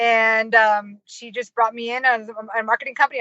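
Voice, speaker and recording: Using an American accent, a woman talks at a fairly high pitch with monotone, flat intonation. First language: Finnish. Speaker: marketing consultant and professor. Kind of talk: interview. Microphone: poor audio, may cut out.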